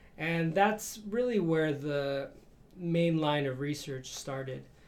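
The pitch moves in an ordinary way. Room echo can be heard. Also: man. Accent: American. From Chicago, Mexican American neighborhood. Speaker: professor and researcher. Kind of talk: interview.

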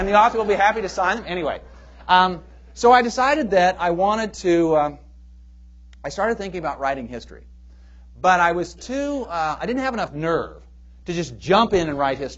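A man with an American accent, high-pitched and lively in intonation, at a fairly quick pace broken by long, frequent pauses. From US Pacific Northwest, Portland, Oregon. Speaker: history professor. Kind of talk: audience Q&A; public lecture. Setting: stage with audience. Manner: halting, with fillers.

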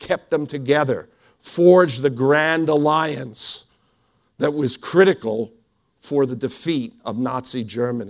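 A man speaks in a plain, everyday voice, fairly high in pitch with ordinary pitch variation. The recording is very clean, with a silent background. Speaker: historian. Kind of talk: lecture. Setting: stage with audience.

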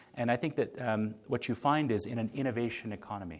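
A man is speaking. His pace is very fast. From India. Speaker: speaker on innovation. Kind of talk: lecture. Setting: stage with audience. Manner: halting, many fillers.

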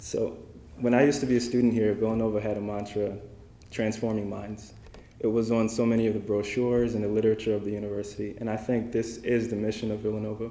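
A man's fairly low, monotone, flat voice at a very fast pace, with audible room echo. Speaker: young alumni award recipient, humanitarian aid worker. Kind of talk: acceptance speech. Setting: dinner event with audience.

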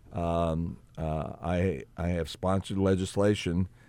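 A man with a New Jersey accent, very deep and low in pitch, dark and mellow in tone, with fairly even intonation, in a very clean recording with a silent background. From New Jersey, Elizabeth. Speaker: state senator and political candidate. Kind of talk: radio interview. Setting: radio studio.

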